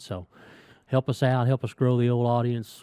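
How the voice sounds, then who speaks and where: Speaking at a fairly quick pace, a man uses a medium pitch and a dark, mellow tone. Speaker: podcast host. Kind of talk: casual chat. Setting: studio with guest present.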